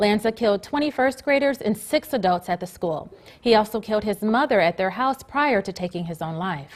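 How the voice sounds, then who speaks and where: An unremarkable speaking voice from a woman, fairly high in pitch, with lively intonation at a fairly quick pace. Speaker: reporter and news anchor. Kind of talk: TV studio newscast read.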